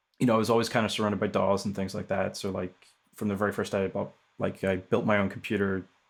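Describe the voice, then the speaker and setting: A man speaks with a Northern Irish accent. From Northern Ireland. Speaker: music technologist and producer. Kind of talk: casual interview chat. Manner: hesitant, many fillers.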